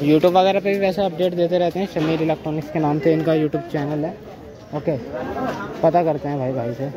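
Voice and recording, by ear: With faint background noise and faint crowd noise behind him, a man talks at a fairly quick pace in a dark, mellow tone, his pitch fairly high and his intonation fairly even.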